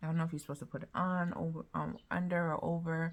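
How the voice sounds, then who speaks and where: A woman speaks at a fairly quick pace. Her voice is somewhat breathy and fairly low. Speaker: vlogger and life coach. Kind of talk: casual vlog chat. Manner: casual, filler-heavy.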